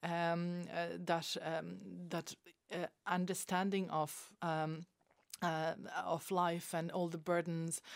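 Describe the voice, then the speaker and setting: A woman with a Bosnian accent speaks very slowly, with long, frequent pauses. Her fairly low voice has monotone, flat intonation. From former Yugoslavia, Bosnia. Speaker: regular contributor. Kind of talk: panel discussion. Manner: halting.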